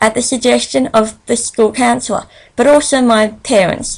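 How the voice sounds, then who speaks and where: The speaker here is a woman. She talks with an Australian accent. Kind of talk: presentation read from transcript. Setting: solo screen recording.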